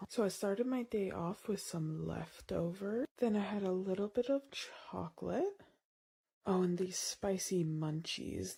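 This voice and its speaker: A woman's breathy, put-on character voice at a medium pitch, with ordinary pitch variation and a moderate pace. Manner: mocking.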